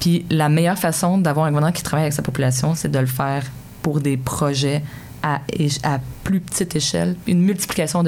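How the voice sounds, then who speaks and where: A woman's very deep, low voice at a fairly quick pace, over noticeable background noise. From Quebec, Sherbrooke (Estrie). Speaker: mayor. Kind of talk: interview. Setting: studio.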